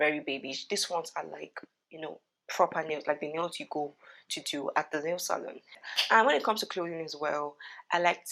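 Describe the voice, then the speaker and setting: On a very clean recording with a silent background, a woman speaks at a fairly low pitch with ordinary pitch variation. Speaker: beauty and lifestyle vlogger. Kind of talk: casual advice vlog. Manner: fast.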